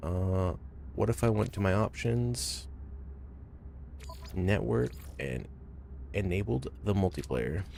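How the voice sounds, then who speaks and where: A man's very deep, low voice at a very slow pace, with very wide pitch swings, long and frequent pauses, and noticeable background noise. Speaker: video game streamer. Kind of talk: live gameplay stream commentary. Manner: casual, animated.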